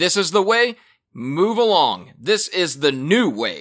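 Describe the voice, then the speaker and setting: Very wide pitch swings and vocal fry mark a man speaking at a fairly slow pace on a very clean recording with a silent background. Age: 20s. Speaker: podcast host and producer. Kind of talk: casual pop culture commentary. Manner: animated.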